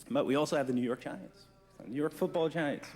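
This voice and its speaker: A man talks in a New Jersey accent with lively intonation at a moderate pace. His pitch is fairly high. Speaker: forensic trace evidence examiner. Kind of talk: conference presentation. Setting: conference room with audience. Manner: casual, joking.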